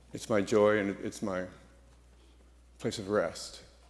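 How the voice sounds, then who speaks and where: Speaking at a moderate pace with an American accent, a man is heard with audible room echo. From US Pacific Northwest (Seattle). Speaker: artist and former singer. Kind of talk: introduction to a church audience. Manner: halting, many fillers.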